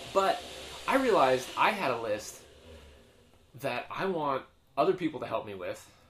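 Against noticeable background noise, a man speaks at a fairly high pitch and moderate pace, with very wide pitch swings and long, frequent pauses. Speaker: podcast co-host. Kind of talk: casual banter between co-hosts. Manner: joking, laughs often.

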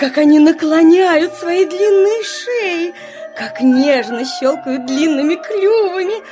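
A woman puts on a character voice at an extremely high pitch, speaking slowly with lively intonation and a dark, mellow tone over faint background music.

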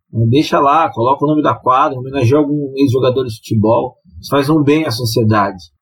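A man, somewhat breathy, delivers his words at a fairly quick pace. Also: medium pitch for a man, ordinary pitch variation. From São Paulo city (west zone). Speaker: sports commentator. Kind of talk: casual chat.

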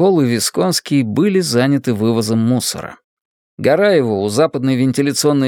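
Lively intonation colors a natural reading voice against a quiet background.

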